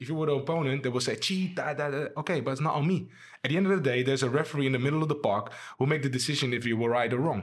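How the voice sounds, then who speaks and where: Somewhat breathy and fairly high-pitched, a man with a Dutch accent talks at a very fast pace. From Amsterdam, Netherlands. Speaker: former professional footballer. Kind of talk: casual interview.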